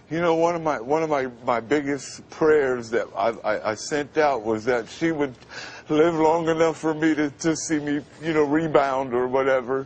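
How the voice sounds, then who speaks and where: This man has an ordinary speaking voice with a fairly high pitch. He moves at a moderate pace with ordinary pitch variation. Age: 50s. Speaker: radio announcer. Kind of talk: TV interview answer.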